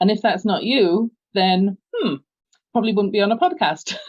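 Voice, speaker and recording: A woman speaks with an English accent at a fairly quick pace. Her pitch is fairly high. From London, England. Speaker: business coach. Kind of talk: podcast interview.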